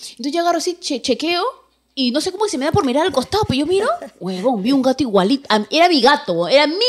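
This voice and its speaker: A woman talks at a very fast pace with very wide pitch swings. Noticeable background noise is present. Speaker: radio host. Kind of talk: casual chat.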